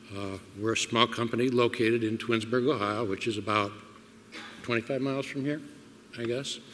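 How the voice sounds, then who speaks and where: Noticeable background noise sits behind a man speaking at a moderate pace. His medium-pitched voice has fairly even intonation. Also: long, frequent pauses. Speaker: small business owner. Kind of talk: roundtable testimony. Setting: public roundtable event. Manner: halting.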